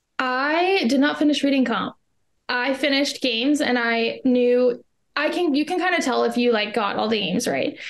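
A woman with a Canadian accent and a high pitch, lively intonation, very even loudness and a moderate pace. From Canada. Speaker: law school applicant. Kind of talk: interview.

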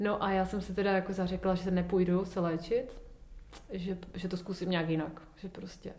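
The voice keeps a moderate pace in a monotone, flat intonation. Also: woman, medium pitch for a woman. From Ostrava, Czech Republic. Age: 30s. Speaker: yoga teacher. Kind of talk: casual interview.

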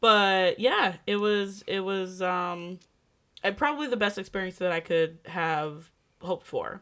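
On a very clean recording with a silent background, a woman speaks at a fairly slow pace in a bright, sharp tone, her pitch medium with ordinary variation. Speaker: podcast co-host. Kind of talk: casual chat. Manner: animated.

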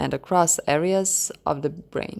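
In a Croatian accent, a woman speaks at a very slow pace with fairly even intonation. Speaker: podcast host. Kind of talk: solo podcast talk, partly read-out explainer. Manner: hesitant, many fillers.

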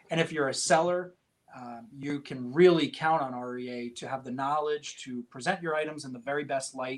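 Speaking at a moderate pace in a plain, everyday voice, a man with an American accent has a fairly high pitch and big swings in loudness. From upstate New York (Poughkeepsie). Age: 30s. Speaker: auction house executive. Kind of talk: podcast interview.

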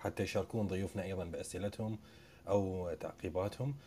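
The voice carries an Iraqi accent and a dark, mellow tone. Its intonation stays fairly even. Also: man. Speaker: podcast host. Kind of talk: panel moderation.

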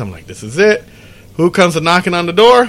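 A man speaks in a fairly high pitch, and noticeable background noise can be heard. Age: 40s. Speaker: podcast host. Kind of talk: casual chat.

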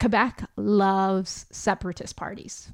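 Fairly slow speech comes through on a very clean recording with a silent background. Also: woman. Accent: Albertan. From Alberta, Canada. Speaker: podcast host. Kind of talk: casual comedic monologue. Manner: animated, jokey.

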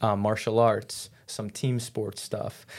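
A man with an ordinary speaking voice and an American accent, medium pitch, fairly even intonation, and a fairly slow pace, on a very clean recording with a silent background. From New York. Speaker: fitness coach. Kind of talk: casual interview.

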